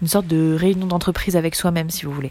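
Fairly low-pitched female voice, dark and mellow, at a fairly quick pace. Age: 20s. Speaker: speech therapist and singer. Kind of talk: personal monologue.

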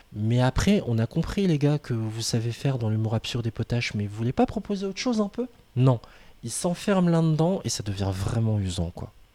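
Dry and close with no echo, a man's dark, mellow voice sits at a medium pitch, moving at a fairly quick pace with very wide pitch swings. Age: 30s. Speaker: podcast host. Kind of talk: casual chat.

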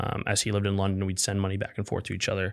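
A man with a Midwestern accent is heard in a very clean recording with a silent background. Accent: General American (Midwest). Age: 20s. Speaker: tech startup founder. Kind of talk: interview storytelling. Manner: casual, many fillers.

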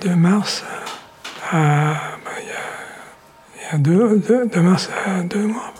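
A soft-spoken man with a high pitch talks at a very slow pace, with ordinary pitch variation and long, frequent pauses. Audible room echo and noticeable background noise surround him. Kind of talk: interview.

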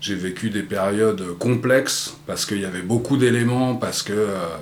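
A man's fairly low voice with ordinary pitch variation at a moderate pace, amid audible room echo and noticeable background noise. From France, Paris area (Vincennes). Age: 50s. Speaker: podcast guest. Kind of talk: casual interview conversation; reading aloud. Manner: halting, many repetitions and hesitations.

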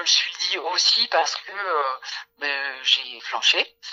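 A woman speaking at a very slow pace. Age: 40s. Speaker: workplace wellbeing consultant. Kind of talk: interview.

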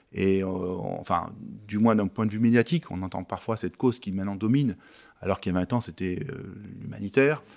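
Here is a man with a plain, everyday voice, fairly low in pitch with ordinary variation. He talks at a fairly quick pace on a very clean recording with a silent background. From Isère, France. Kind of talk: panel discussion interview.

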